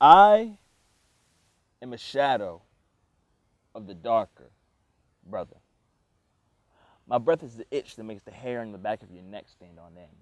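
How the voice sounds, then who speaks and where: A man's medium-pitched voice at a moderate pace, dry and close with no echo. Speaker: college student spoken word artist. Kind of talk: spoken word poetry performance.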